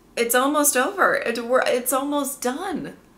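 A bright, sharp tone in a raised, projected voice at a moderate pace. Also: woman. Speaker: TV show reviewer. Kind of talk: casual vlog chat. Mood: emotional, enthusiastic about show. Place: home room.

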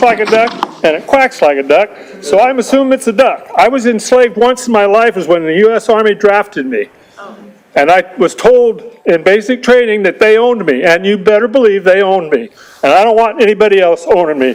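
Amid noticeable background noise, a man with a high pitch talks fairly quickly with ordinary pitch variation. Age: 70s. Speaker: retired army veteran, public commenter. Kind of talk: unprepared public comment. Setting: city council meeting room.

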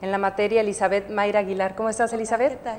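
Light background noise runs under a woman's voice. She talks at a very fast pace with monotone, flat intonation. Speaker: TV show co-host. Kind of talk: host introducing guests. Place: studio.

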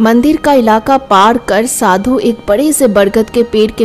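Pitch moves by an ordinary amount. The voice reads in an unforced way.

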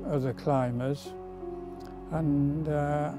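A man's fairly high-pitched voice over music in the background. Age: 80s+. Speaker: mountain climber and charity fundraiser. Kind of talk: interview answer.

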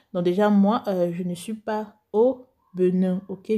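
The voice has a Cameroonian accent and a dark, mellow tone, somewhat breathy with fairly even intonation. The recording is very clean, with a silent background. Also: woman. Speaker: beauty youtuber, cosmetics seller. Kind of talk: vlog talk to viewers. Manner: slow; calm, measured.

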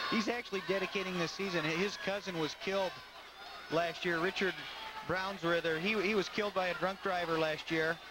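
A man with a high pitch speaks in a raised, projected voice with an animated tone, at a fairly quick pace and very even loudness. Background noise is noticeable. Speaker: color commentator. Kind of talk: live sports commentary. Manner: animated, quick calls of takedowns and reversals.

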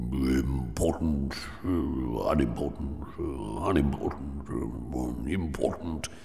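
Against clear background noise, a man uses a put-on character voice at a very slow pace. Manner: muttering in an undertone.

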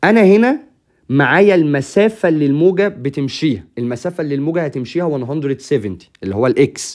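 Speaking with an Egyptian accent, a man uses lively intonation at a fairly high pitch and a moderate pace. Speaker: physics teacher. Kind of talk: tutorial. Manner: casual, conversational.

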